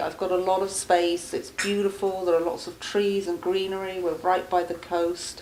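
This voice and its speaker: A woman with an English accent speaks over noticeable background noise. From England. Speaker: charity founder. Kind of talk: interview.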